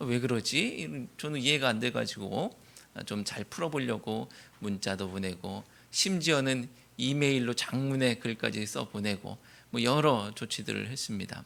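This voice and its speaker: A man of medium pitch speaks at a fairly slow pace with lively intonation. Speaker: pastor. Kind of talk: sermon. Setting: church. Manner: curt, stiff way of talking.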